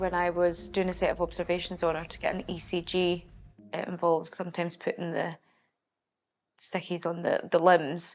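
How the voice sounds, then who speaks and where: A west Highland Scottish accent at a moderate pace, with monotone, flat intonation. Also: woman, fairly low pitch for a woman. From Scotland, Oban. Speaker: ambulance technician. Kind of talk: documentary interview.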